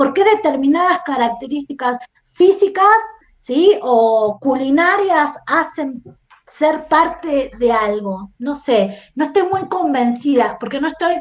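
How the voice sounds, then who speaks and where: A woman with a non-native accent, high pitch, lively intonation and a very slow pace. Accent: foreign Spanish accent, noticeable. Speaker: historian. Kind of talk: podcast interview discussion. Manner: reflective, many rhetorical questions.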